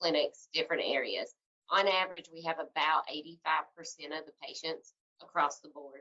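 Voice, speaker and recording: This woman speaks in a fairly low voice with a Tennessee accent. Her intonation stays fairly even. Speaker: healthcare tech company representative. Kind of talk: webinar Q&A answers. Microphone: cutting out.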